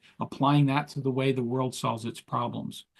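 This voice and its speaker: Medium in pitch with ordinary variation, a man talks in a normal speaking voice. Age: 60s. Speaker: entrepreneur and leadership coach. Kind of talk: interview.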